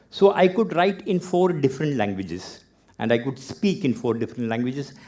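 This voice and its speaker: In a Keralan accent, a man talks at a fairly quick pace with a fairly high pitch and a dark, mellow tone. His pitch swings very widely, and the background is quiet. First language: Malayalam. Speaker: author, photographer and arts professor giving a talk. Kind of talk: TEDx talk.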